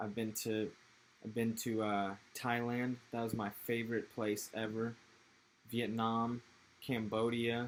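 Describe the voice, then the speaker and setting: A man's medium-pitched voice with an American accent, monotone and flat, at a fairly slow pace with long, frequent pauses. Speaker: podcast guest, skater. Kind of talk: casual chat.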